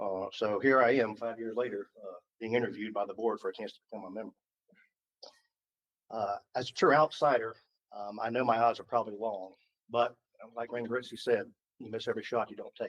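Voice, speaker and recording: A man with a Southern US accent at a medium pitch, fairly quick pace, fairly even intonation, big swings in loudness and long, frequent pauses. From Georgia (US South). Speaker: school board applicant, HR manager. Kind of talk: job interview. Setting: public board meeting. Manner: hesitant, many fillers.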